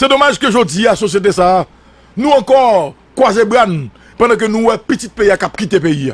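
A man's high-pitched voice with lively intonation at a moderate pace, in a dry sound with no echo. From Haiti. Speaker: news commentator. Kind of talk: political commentary. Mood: indignant, critical. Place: studio. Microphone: studio mic.

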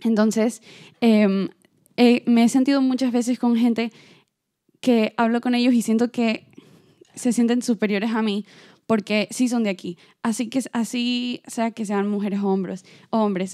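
A dark, mellow voice at a fairly slow pace, with long, frequent pauses and a quiet background. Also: woman, fairly high pitch for a woman, fairly even intonation. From Ecuador. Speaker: performing arts student. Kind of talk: audience question at round table. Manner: halting, many fillers. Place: stage.

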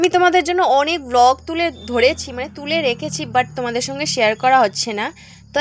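A woman speaks with a high pitch. Her intonation is lively. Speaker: vlogger. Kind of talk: casual vlog talk to camera. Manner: halting, self-correcting.

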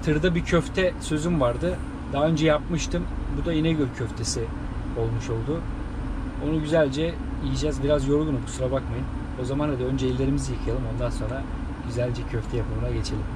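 A man speaks fairly quickly while noticeable background noise carries on. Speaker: truck driver vlogger. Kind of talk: casual vlog chat. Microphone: camera far.

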